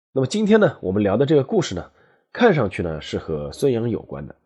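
A man with a dark, mellow tone and medium pitch talks at a fairly quick pace with vocal fry. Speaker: history podcast host, former sports journalist. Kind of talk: storytelling monologue. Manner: conversational, many filler particles.

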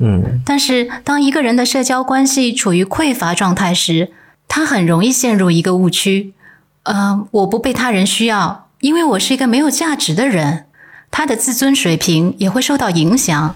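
Somewhat breathy and fairly high-pitched, a woman talks at a moderate pace with very wide pitch swings and very even loudness. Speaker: podcast co-host. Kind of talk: co-hosted podcast, partly scripted talk.

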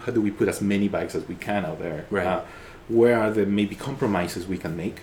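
The speech moves at a very fast pace with ordinary pitch variation. Noticeable background noise runs underneath. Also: man. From Ecuador. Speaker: designer. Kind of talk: interview. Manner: halting.

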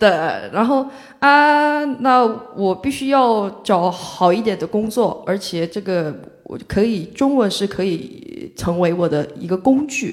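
The speech moves at a very slow pace while the pitch swings very widely. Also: woman, medium pitch for a woman. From South Korea, Mokpo (South Jeolla). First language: Korean (speaking Chinese). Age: 20s. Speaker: Korean student in China. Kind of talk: live panel discussion.

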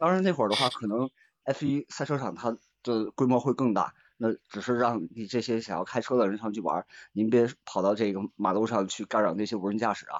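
Moving at a fairly quick pace, a man speaks at medium pitch with ordinary pitch variation. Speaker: audience member joining the talk. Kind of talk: casual chat.

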